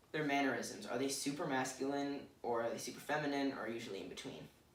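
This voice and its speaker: Noticeable background noise and audible room echo surround a man speaking at medium pitch and a fairly quick pace. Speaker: student presenter. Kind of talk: presentation. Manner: hesitant fillers.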